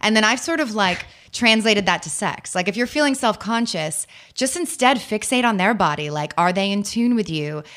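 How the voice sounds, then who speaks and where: With an American accent, a woman speaks in an animated tone at a fairly high pitch, her voice swinging very widely up and down. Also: moderate pace. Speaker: writer and dating expert. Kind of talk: interview. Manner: animated, casual, lots of like.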